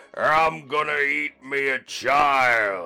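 A growling, menacing, put-on character voice. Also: man.

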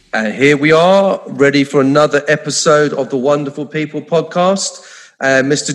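Noticeable background noise sits under a voice whose pitch varies in an ordinary way. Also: man. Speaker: podcast co-host. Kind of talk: casual chat.

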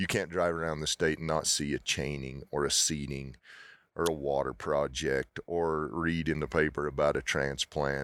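A man's very deep, low voice with an American accent and fairly even intonation, on a very clean recording with a silent background. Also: very even loudness. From Utah. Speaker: auctioneer. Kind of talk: casual interview. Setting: at expo, recorded in person. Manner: fast talker.

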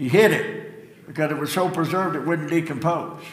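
Over noticeable background noise, a man speaks with fairly even intonation at a fairly high pitch. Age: 70s. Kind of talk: sermon. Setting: church.

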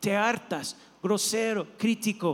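A high-pitched man's voice, flat and monotone, at a very slow pace. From not from Mexico. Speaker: pastor. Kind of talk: sermon. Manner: halting.

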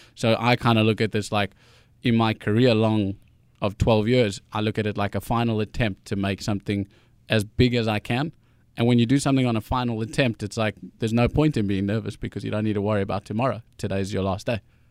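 At a very fast pace, a man with a fairly low pitch keeps his intonation fairly even. The very clean recording has a silent background and a dry, close sound with no echo. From South Africa, Johannesburg. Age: 20s. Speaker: singer-songwriter. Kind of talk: interview. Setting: studio.

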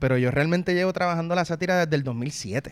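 A man speaks at a fairly quick pace in a Puerto Rican accent. The recording is very clean, with a silent background. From Puerto Rico (partly raised in Mexico). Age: 30s. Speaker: political satirist and salsa singer. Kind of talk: interview.

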